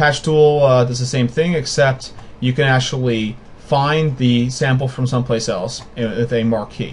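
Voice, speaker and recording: A man's somewhat breathy voice holds a medium pitch with ordinary variation. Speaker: software tutorial maker. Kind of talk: screen-recorded tutorial. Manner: fast; casual, with fillers and restarts.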